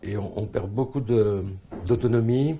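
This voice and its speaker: A man speaks at a fairly low pitch, his voice somewhat breathy and his pitch varying in an ordinary way. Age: 60s. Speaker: kidney transplant patient. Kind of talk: testimony. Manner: halting, repeats words.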